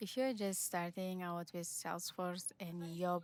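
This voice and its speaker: In a non-native accent, a woman speaks at a fairly low pitch and fairly slow pace with fairly even intonation. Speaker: Salesforce admin and online course creator. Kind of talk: casual vlog talk to camera. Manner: halting, many fillers.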